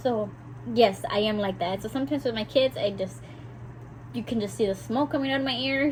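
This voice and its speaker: The speech moves at a fairly quick pace. Music plays in the background. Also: woman. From South Texas (McAllen), Mexican-American family. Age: 20s. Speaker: vlogger. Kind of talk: casual chat. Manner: talkative, chatty.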